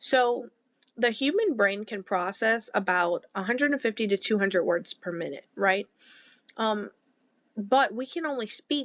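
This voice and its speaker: Lively intonation runs through a woman's unremarkable speaking voice, pitched fairly high. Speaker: teacher. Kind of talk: lecture. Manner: conversational.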